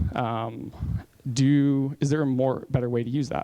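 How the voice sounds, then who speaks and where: A plain, everyday voice with an American accent moves at a moderate pace with fairly even intonation. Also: man. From US. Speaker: conference speaker. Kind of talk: conference talk. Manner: casual, with many fillers.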